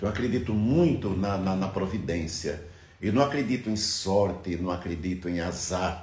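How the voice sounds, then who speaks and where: The speech moves at a moderate pace with ordinary pitch variation. An audible room echo surrounds it. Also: man, very deep, low pitch for a man. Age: 60s. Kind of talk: reflective monologue. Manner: halting.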